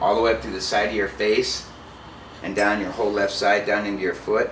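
A man with a fairly low pitch speaks over noticeable background noise. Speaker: storyteller. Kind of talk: casual story in an interview. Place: home room.

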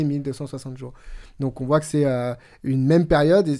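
The quiet background holds a man's fairly high voice with a dark, mellow tone. His intonation stays fairly even. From New Caledonia, moved to France at 13. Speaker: podcast co-host. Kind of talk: Bible study discussion. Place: studio. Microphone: studio mic.

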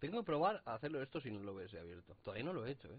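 Words come at a very fast pace. The sound is dry, with no echo. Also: man. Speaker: gaming youtuber. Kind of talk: let's play commentary; casual gameplay commentary. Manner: casual, rambling with filler words. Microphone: distorted audio in parts; headset.

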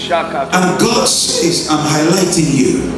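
A man's voice with strong room echo and clear music in the background. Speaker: pastor, prophetic minister. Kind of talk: prophetic ministry, word of knowledge delivered to a person. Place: church.

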